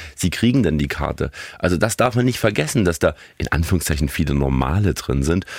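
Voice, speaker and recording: This man speaks with a very deep, low pitch and vocal fry, recorded dry and close with no echo. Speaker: podcast co-host. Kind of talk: casual chat.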